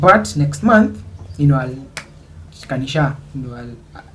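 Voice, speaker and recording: Over background music, a man with a fairly high voice talks at a moderate pace with lively intonation. Room echo can be heard. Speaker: YouTuber. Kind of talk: storytelling vlog. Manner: casual, Swahili-English code-switching.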